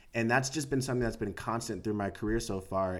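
This is a man talking with an American accent. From US West Coast, San Diego. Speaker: actor. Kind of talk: casual chat. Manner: halting.

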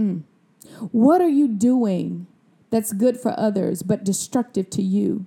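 A woman with an American accent speaks at a fairly high pitch and a fairly slow pace, her tone dark, mellow and somewhat breathy, with lively intonation. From Mississippi, US South. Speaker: wellness podcast host, doctor. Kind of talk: solo podcast talk, motivational teaching.

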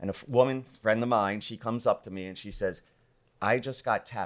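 Recorded very cleanly against a silent background, a man with an American accent speaks at a fairly low pitch and a fairly quick pace in a normal speaking voice, with ordinary pitch variation. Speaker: public speaker, mortgage professional. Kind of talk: casual interview chat.

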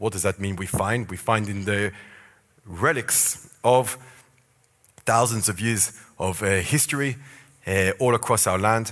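In a very clean recording with a silent background, a man talks at a fairly slow pace in an ordinary speaking voice, his fairly low pitch showing ordinary variation. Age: 40s. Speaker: tour guide. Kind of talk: church talk on biblical archaeology. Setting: church stage with audience.

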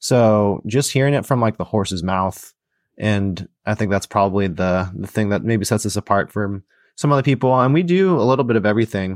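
Against a quiet background, a man with an unremarkable speaking voice and a fairly low pitch talks at a fairly quick pace, the sound dry and close with no echo. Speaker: podcast host and real estate investor. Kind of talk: casual podcast conversation.

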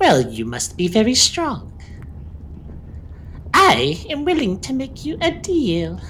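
In a put-on character voice, someone talks at a fairly slow pace with long, frequent pauses over clear background noise. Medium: actual play. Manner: cackling, smooth and wheedling.

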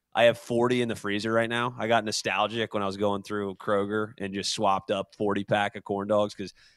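Fairly low in pitch, a man talks with fairly even intonation in an unremarkable speaking voice, recorded with a dry, close sound and no echo. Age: 30s. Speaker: podcast co-host. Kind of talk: casual chat. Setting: video call.

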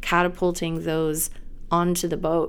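Her voice is an unremarkable speaking voice, a woman's at fairly low pitch, moving at a fairly slow pace. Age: 40s. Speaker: naturopathic mental health doctor. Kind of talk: guided visualization meditation, slow imagery of boats drifting downstream. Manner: slow, soft, soothing and measured with calm pauses.

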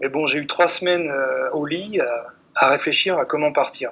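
Noticeable background noise under fairly slow talking. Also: man. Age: 30s. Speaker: long-distance runner and writer. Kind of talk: interview. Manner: halting.

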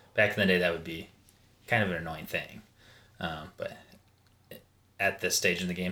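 Bright and sharp in tone yet very deep and low in pitch, a man with an American accent speaks at a moderate pace in a monotone, flat delivery broken by long, frequent pauses. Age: 30s. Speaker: fitness enthusiast and father. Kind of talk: casual chat.

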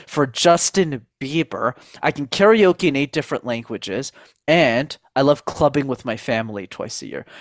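Recorded very cleanly against a silent background, with a dry, close sound and no echo, a man with a Canadian accent uses a plain, everyday voice, fairly high in pitch, with lively intonation at a moderate pace. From Montreal, Canada. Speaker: speaking coach. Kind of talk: interview.

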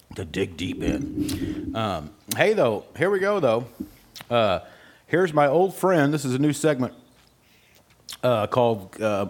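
With vocal fry and a fairly high pitch, a man talks fairly slowly, his pitch swinging very widely between long, frequent pauses. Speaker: podcast host. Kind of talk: casual chat. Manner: halting, many fillers.

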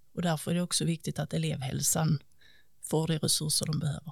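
Fairly low-pitched woman's voice with vocal fry and fairly even intonation. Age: 40s. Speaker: local politician. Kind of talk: interview.

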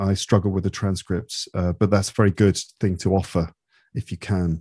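Dark and mellow in tone, a man with a British accent speaks at a fairly low pitch and moderate pace. His intonation is monotone and flat, in a very clean recording with a silent background. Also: dry, close sound with no echo. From England. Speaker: English-teaching podcaster. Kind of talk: casual interview.

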